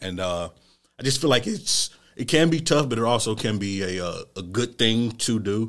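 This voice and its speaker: A man in an ordinary speaking voice talks at a moderate pace and medium pitch with lively intonation, on a very clean recording with a silent background. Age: 20s. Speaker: podcast co-host, restaurant worker. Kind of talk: casual chat.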